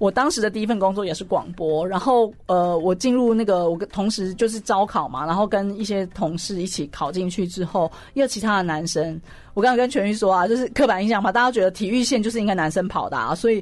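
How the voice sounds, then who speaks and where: Against a quiet background, a woman speaks fairly quickly at a medium pitch with ordinary pitch variation. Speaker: sports journalist and columnist. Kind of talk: radio interview. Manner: loud.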